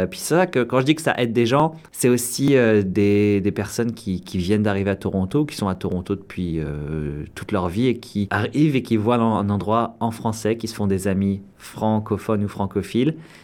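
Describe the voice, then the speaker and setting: Speaking with ordinary pitch variation, a man keeps to a fairly low pitch. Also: moderate pace. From France, Orléans. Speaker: actor and improviser. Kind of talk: interview. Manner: halting, many hesitations.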